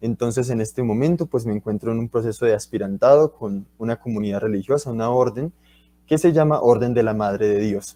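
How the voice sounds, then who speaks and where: A man speaks at a fairly quick pace in a dark, mellow tone with medium pitch and ordinary pitch variation. The sound is dry and close, with no echo. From Colombia, Bucaramanga (Santander). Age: 20s. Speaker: university student and guest speaker. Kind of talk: talk to school students. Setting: livestreamed school talk.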